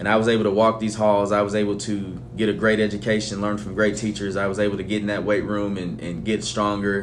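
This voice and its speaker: With an American accent, a man talks at a fairly quick pace in a fairly low voice with fairly even intonation, and audible room echo surrounds him. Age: 30s. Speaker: high school football coach. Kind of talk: interview.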